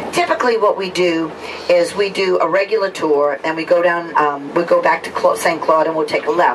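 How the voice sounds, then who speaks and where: The speaker, in a New Orleans accent, talks at a fairly quick pace with fairly even intonation over noticeable background noise. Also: woman. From New Orleans, Louisiana. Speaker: tour guide. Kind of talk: guided bus tour commentary. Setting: on a tour bus. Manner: conversational.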